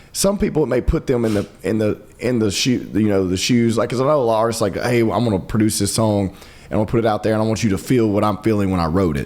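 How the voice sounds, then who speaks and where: Over noticeable background noise, a man with a fairly low pitch talks at a very fast pace with hardly any pauses. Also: ordinary pitch variation. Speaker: podcast host. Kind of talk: casual conversation.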